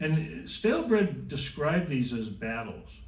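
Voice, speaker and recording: Audible room echo surrounds a man's voice. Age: 70s. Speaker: music historian. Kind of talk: interview on stage. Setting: stage with audience. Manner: halting.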